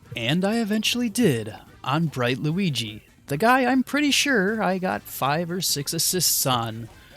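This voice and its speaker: Over noticeable background noise, a man talks at a fairly slow pace in a high voice, his pitch swinging very widely. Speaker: gaming youtuber. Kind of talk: gameplay commentary narration.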